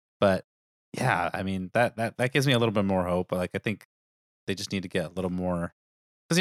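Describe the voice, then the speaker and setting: The voice rushes at a very fast pace, and the sound is dry and close with no echo. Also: man. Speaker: podcast co-host. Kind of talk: casual banter about movies. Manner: joking, teasing.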